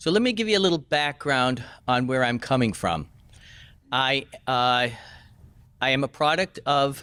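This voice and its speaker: A man at medium pitch with a Boston accent, bright and sharp in tone, with lively intonation, very even loudness, and long, frequent pauses. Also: moderate pace, very clean recording, silent background. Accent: Boston accent, non-rhotic. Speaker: English professor. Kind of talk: orientation presentation.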